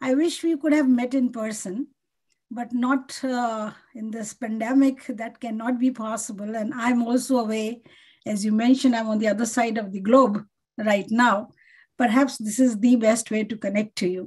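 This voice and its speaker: In a plain, everyday voice, a woman speaks at a moderate pace with fairly even intonation and a fairly high pitch against a quiet background. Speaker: linguistics professor. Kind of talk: lecture. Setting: video call. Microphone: video call.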